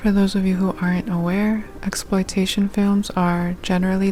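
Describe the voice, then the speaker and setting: A soft-spoken woman at a medium pitch, calm in tone, monotone and flat in intonation, at a fairly slow pace, with music in the background. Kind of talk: soft-spoken ASMR movie review. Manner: soft-spoken, calm.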